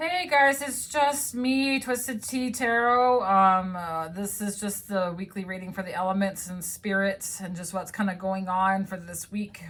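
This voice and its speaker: Ordinary pitch variation marks speech that proceeds at a moderate pace. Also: woman. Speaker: tarot reader. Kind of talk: tarot reading video. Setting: at home in apartment. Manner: loud; halting, many fillers.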